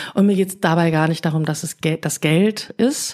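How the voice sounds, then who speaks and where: A woman's dark, mellow tone, fairly low in pitch, at a moderate pace with fairly even intonation. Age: 40s. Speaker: podcast host and coach. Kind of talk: casual chat.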